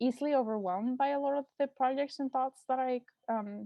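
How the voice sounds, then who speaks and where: Speaking with a Mexican accent, the voice moves at a fairly quick pace with ordinary pitch variation. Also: woman. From Mexico. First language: Spanish. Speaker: artist. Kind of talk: artist talk. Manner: hesitant, many fillers.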